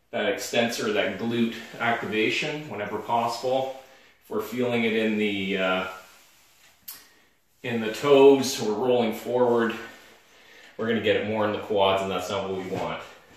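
A man at a moderate pace, with fairly even intonation, long, frequent pauses and strong room echo. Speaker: fitness instructor. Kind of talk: tutorial. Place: gym. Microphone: camera far.

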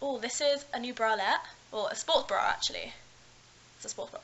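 The woman talks at a moderate pace in a high pitch. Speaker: student vlogger. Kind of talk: casual vlog chat. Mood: relaxed, chatty. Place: home room. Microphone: webcam.

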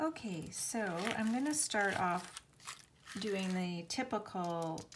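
A woman's voice with ordinary pitch variation over light background noise. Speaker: craft artist demonstrating. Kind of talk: tutorial.

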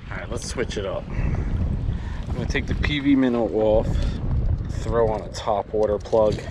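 Over noticeable background noise, a man talks fairly slowly at a fairly low pitch with fairly even intonation. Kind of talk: casual fishing vlog commentary. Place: waterside. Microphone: phone near.

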